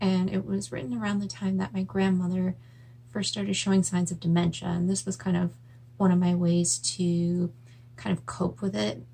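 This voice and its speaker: A woman's fairly low voice with very wide pitch swings, plus noticeable background noise. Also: moderate pace. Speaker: writer. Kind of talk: casual talk to camera.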